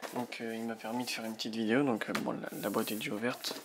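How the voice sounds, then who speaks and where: A man speaks quietly at a medium pitch with fairly even intonation, over noticeable background noise. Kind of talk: product unboxing talk to camera. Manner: quiet, low volume.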